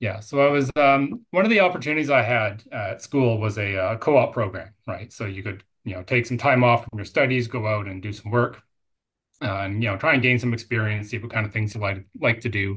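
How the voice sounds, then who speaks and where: A normal speaking voice with a Canadian accent, fairly quick pace and ordinary pitch variation. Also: man, medium pitch for a man, quiet background. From Canada, British Columbia. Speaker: technical director of a construction materials company. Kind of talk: casual interview.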